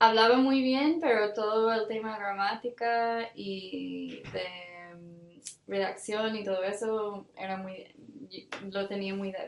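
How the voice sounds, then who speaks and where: Talking very slowly with an English accent, a woman keeps a medium pitch and fairly even intonation. Her loudness swings widely. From Ireland, Cork. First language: English (speaking Spanish). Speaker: development worker. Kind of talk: interview. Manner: hesitant, many fillers.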